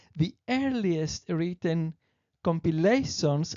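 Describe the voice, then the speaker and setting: A woman with a Greek accent, a fairly low pitch and lively intonation, at a very slow pace. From Greece. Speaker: presenter of spiritual teachings. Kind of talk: presentation reading; casual aside. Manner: halting with self-corrections.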